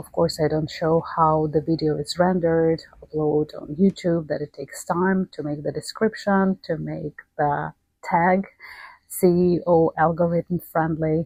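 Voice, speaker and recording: Her intonation stays monotone and flat. The woman talks with a non-native accent. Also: fairly low pitch for a woman, fairly slow pace. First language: not English. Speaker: astrology YouTuber. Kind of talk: casual behind-the-scenes talk. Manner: halting with pauses.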